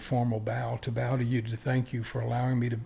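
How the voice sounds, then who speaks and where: In an American accent, a man talks at a fairly quick pace in a medium-pitched, somewhat breathy voice with a dark, mellow tone and monotone, flat intonation. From US South. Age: 70s. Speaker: martial arts grandmaster. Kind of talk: interview conversation.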